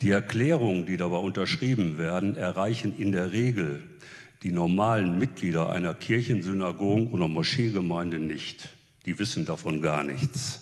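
The man's pitch is very deep and low, and his pace is moderate. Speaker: retired theologian, professor. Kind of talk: panel statement.

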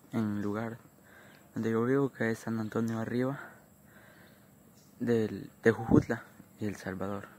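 A man talks at a fairly slow pace in a monotone, flat intonation. The sound is dry, with no echo. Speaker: vlogger. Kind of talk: casual vlog chat. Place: open country. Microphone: phone near.

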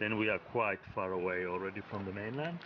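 With ordinary pitch variation, a man talks while noticeable background noise continues. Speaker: travel vlogger. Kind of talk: casual vlog explanation of route. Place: street.

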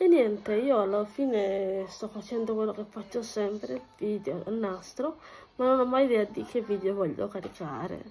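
A woman talks at a moderate pace with a dark, mellow tone. Her pitch is medium, with ordinary variation. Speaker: vlogger. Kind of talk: casual chat vlog while doing housework. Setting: at home, filming herself. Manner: chatty, rambling.

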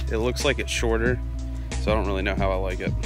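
A man speaking at a very fast pace, the sound dry with no echo and clear music in the background. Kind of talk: casual vlog chat. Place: open country. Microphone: phone near.

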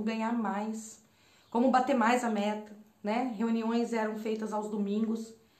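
A woman's fairly high voice with audible room echo. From Brazil, Campinas, São Paulo state. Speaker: holistic therapist and spiritual mentor. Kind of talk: personal storytelling monologue to camera. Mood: warm, reflective. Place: home room. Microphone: phone near.

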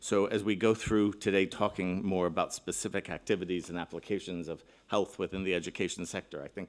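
A man's fairly low voice with ordinary pitch variation, an ordinary speaking voice. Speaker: keynote speaker. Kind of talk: conference keynote address. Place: hall. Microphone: podium.

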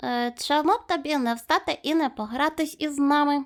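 A woman uses a put-on character voice, high in pitch, at a moderate pace. The recording is very clean, with a silent background. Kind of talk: children's story reading. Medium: read story. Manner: teasing, lively.

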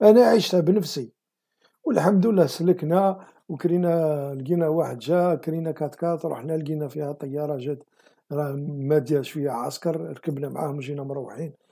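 In a quiet background, a man with an Algerian accent speaks at a moderate pace in a dark, mellow tone with ordinary pitch variation. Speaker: political commentary video host. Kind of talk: monologue commentary. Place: home room. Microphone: webcam.

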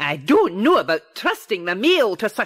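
Reading in an unforced voice

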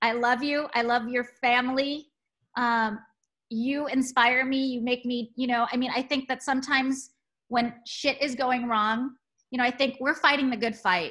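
With an American accent, a woman speaks in a high pitch with a bright, sharp tone. Her pace is moderate over a quiet background. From Texas. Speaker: museum director; museum director host. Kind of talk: casual chat. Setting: video call. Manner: animated. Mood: warm, affectionate. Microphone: video call.

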